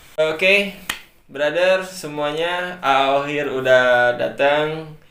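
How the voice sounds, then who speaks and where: Amid noticeable background noise and audible room echo, a man speaks very slowly in a fairly high voice with ordinary pitch variation. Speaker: podcast host. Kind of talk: casual comedic interview.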